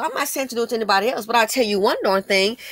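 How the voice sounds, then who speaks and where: A woman speaks in an animated tone, heard in a dry, close sound with no echo. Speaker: YouTube commentator. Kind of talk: angry rant, opinionated commentary on a news story. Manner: indignant, scornful, harsh and emphatic; animated, sarcastic, fast-paced with stumbles.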